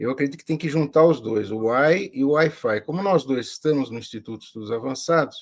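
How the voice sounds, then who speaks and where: A man at a fairly high pitch speaks at a moderate pace in an ordinary speaking voice. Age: 60s. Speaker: professor. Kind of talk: interview.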